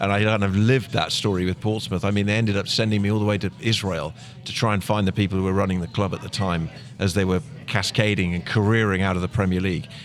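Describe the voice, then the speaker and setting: A man with an English accent, fairly low pitch, ordinary pitch variation and a very fast pace. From Plymouth, England. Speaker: soccer commentator. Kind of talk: podcast interview answer.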